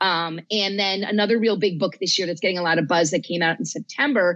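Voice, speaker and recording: This woman has an ordinary speaking voice, fairly low in pitch, with an American accent. Her pitch varies in an ordinary way over a quiet background. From New Jersey. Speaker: librarian and horror author. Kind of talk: casual chat.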